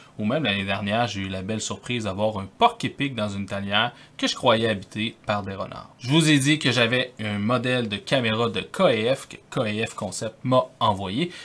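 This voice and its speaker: A man talks at a moderate pace, with ordinary pitch variation and hardly any pauses. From Quebec City, Canada; Quebec, Canada. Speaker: wildlife photographer. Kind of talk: tutorial. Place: home room.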